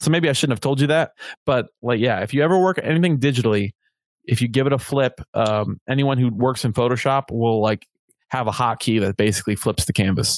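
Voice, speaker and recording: At a fairly quick pace, a man with a medium pitch and a normal speaking voice talks with ordinary pitch variation and very even loudness, the sound dry and close with no echo. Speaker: muralist and street painter. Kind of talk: casual chat. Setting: video call.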